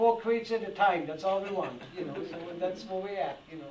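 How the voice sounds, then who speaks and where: Audible room echo and noticeable background noise surround a man's high voice. He moves at a fairly quick pace with ordinary pitch variation. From Germany. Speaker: antique toy restorer. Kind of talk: public talk with audience Q&A. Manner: animated; repetitive, halting.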